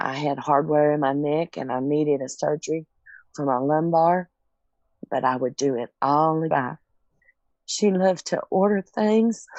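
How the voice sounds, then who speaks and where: With a Southern US accent, a woman speaks at a very deep, low pitch, leaving long, frequent pauses. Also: ordinary pitch variation, moderate pace. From Tennessee. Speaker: caregiver. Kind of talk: testimony.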